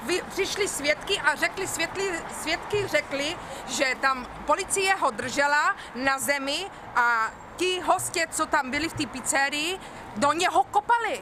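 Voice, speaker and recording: Over noticeable background noise, a woman with a high pitch uses a raised, projected voice and lively intonation at a fairly slow pace. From Czech Republic. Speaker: protester. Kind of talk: street interview.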